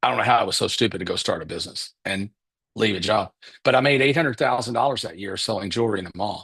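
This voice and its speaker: A man speaks at a fairly quick pace with a Kentucky accent. His pitch is medium with ordinary variation, and his tone is bright and sharp. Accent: Southern US (Kentucky). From Kentucky, Paducah. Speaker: business coach. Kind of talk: live webinar presentation. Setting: livestream. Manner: casual, conversational.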